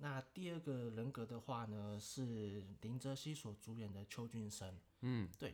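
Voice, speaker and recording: An unremarkable speaking voice from a man, medium in pitch, with ordinary pitch variation. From Taiwan. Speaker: podcast guest, host's childhood friend. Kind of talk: casual chat.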